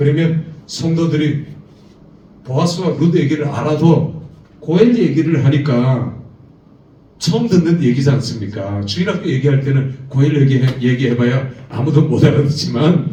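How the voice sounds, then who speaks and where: The room echo can be heard clearly. A man is speaking at a moderate pace. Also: fairly high pitch for a man, ordinary pitch variation. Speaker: seminary lecturer teaching preachers. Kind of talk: lecture. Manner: animated.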